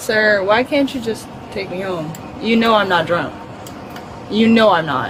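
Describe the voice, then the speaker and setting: Over noticeable background noise and audible room echo, a woman with a medium-pitched voice and lively intonation speaks with long, frequent pauses. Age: 20s. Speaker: arrested driver. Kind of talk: argument with police. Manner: slurred speech; stuttering.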